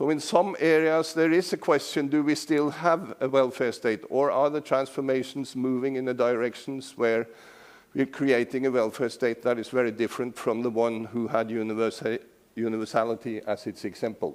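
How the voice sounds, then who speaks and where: A man at a medium pitch and moderate pace, with ordinary pitch variation, on a very clean recording with a silent background. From Norway. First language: Norwegian. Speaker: professor emeritus. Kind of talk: lecture.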